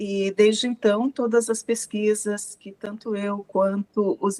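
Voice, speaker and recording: A woman with an ordinary speaking voice, medium pitch and fairly even intonation. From Brazil, rural interior of São Paulo state. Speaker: researcher and professor. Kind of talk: interview.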